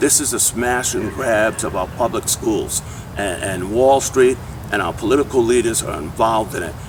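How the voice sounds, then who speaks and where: At a moderate pace, a man speaks in an animated tone with lively intonation and a medium pitch. Noticeable background noise is present. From US inner city. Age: 60s. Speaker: education activist. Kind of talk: interview. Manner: halting, repeats words.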